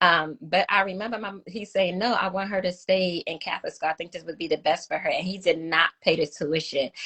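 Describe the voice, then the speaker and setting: The speaker talks at a fairly quick pace with a Brooklyn accent. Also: woman, medium pitch for a woman. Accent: Brooklyn New York. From New York City (Brooklyn). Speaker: domestic violence survivor, advocate. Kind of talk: testimony. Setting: live video stream interview.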